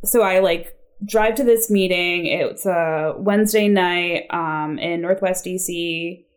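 The speaker talks with an American accent and ordinary pitch variation. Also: woman. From Maryland, US (Chevy Chase). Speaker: recovering addict sharing her story. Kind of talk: personal testimony in casual chat. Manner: casual, filler-heavy.

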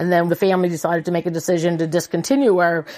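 A woman speaks in a plain, everyday voice. It is fairly low in pitch, with fairly even intonation. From Prince Edward Island, Canada. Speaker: farm manager. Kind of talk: interview.

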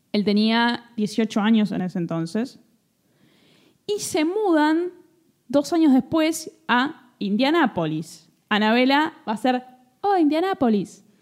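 A woman with a Rioplatense accent speaks very slowly. Her high voice swings very widely in pitch. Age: 30s. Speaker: podcast host. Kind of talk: casual chat.

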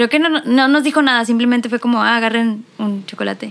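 A woman talks at a moderate pace in a fairly high pitch with ordinary pitch variation. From Mexico, Mexicali. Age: 20s. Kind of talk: casual chat. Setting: recording in same room as other guest.

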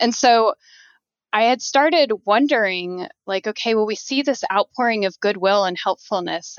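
A plain, everyday voice, its pitch varying in an ordinary way. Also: woman. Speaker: geophysics professor. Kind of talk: interview.

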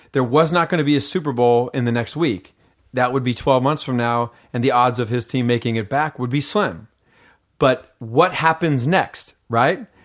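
A man with an unremarkable speaking voice and an American accent, medium in pitch for a man, at a moderate pace with ordinary pitch variation, on a very clean recording with a silent background. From US Pacific Northwest (Seattle, Washington). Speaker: mental conditioning coach. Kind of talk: casual interview. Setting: in person at host's home.

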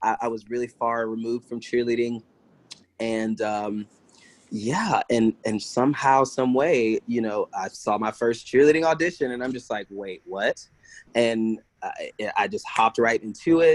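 A man with an American accent talks at a fairly slow pace, medium pitch and ordinary pitch variation, the sound dry and close with no echo. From US South, South Carolina and Virginia Beach. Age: 30s. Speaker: entertainer and cheerleader. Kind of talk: casual interview. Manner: animated.

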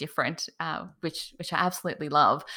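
A woman's bright, sharp tone with an Australian accent. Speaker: cake artist. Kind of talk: interview. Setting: video call. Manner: animated.

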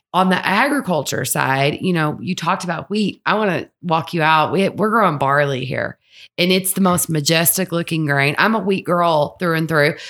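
A woman with a Kentucky accent talks at a moderate pace with hardly any pauses, on a very clean recording with a silent background. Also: fairly low pitch for a woman, ordinary pitch variation. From southern Kentucky, Monticello. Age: 40s. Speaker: whiskey blender. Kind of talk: casual chat. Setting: distillery.

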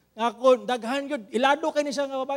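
A man speaks with a Visayan Filipino accent at an extremely high pitch. His pace is very fast, with ordinary pitch variation. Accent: Filipino (Cebuano) English. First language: Cebuano. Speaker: pastor. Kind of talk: sermon.

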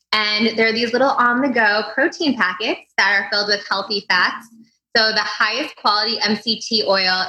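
An unremarkable speaking voice from a woman, fairly high in pitch, with ordinary pitch variation, very even loudness and a moderate pace. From US Midwest, St. Louis. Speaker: entrepreneur. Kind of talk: interview.

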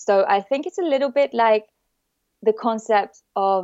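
A woman with a French accent speaks at a fairly slow pace with ordinary pitch variation. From south of France. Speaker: emotional therapy practitioner. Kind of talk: casual chat.

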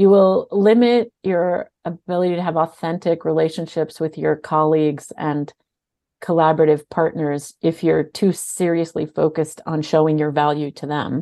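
This woman has a very deep, low pitch and a dark, mellow tone. She speaks at a moderate pace with fairly even intonation against a quiet background. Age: 50s. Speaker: nonprofit CEO. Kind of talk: interview.

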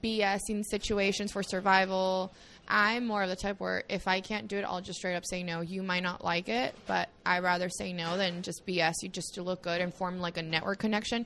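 Bright, sharp tone at a moderate pace, with fairly even intonation and hardly any pauses. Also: woman, medium pitch for a woman. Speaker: cafe founder and CEO. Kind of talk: casual interview. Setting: in person at her cafe.

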